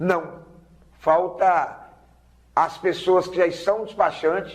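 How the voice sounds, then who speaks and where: Here a man speaks at a very slow pace. His pitch is high. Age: 60s. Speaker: vehicle documentation agent. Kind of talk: TV interview.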